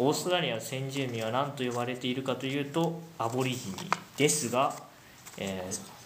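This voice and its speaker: At a moderate pace, a man talks at medium pitch with ordinary pitch variation, with audible room echo and noticeable background noise. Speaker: podcast host, psychology student. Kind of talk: casual chat; quiz hosting. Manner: animated.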